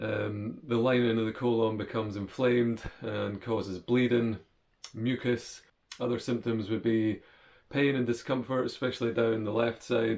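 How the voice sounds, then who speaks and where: A man delivers his words at a medium pitch with a monotone, flat intonation. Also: moderate pace. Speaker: vlogger sharing health experience. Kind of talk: personal vlog explainer.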